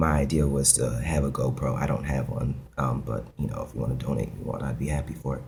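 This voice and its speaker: A man talks with a very deep, low pitch and fairly even intonation. Audible room echo and noticeable background noise surround him. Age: 20s. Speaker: video blogger. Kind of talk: casual vlog monologue. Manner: hesitant, many fillers.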